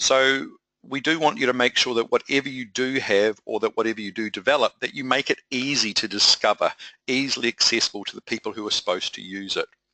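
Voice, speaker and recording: Talking at a very fast pace, this man has a New Zealand accent and a medium pitch. His tone is bright and sharp, and the sound is dry and close with no echo. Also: ordinary pitch variation. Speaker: project management consultant. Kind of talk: webinar presentation. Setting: online webinar.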